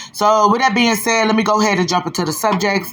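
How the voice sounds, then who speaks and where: Over noticeable background noise, a woman talks very fast with ordinary pitch variation. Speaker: gossip commentary youtuber. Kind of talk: casual commentary monologue.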